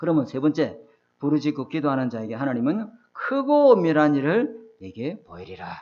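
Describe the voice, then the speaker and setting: A man's fairly high pitch with very wide pitch swings and big swings in loudness. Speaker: pastor. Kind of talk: sermon. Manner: fast.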